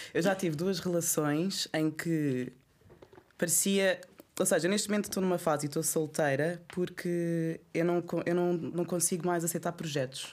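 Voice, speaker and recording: Here a woman with a plain, everyday voice speaks at a moderate pace and fairly low pitch. Her intonation is fairly even, her loudness very even, and the recording very clean with a silent background. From Angola. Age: 30s. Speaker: art curator. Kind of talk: casual chat.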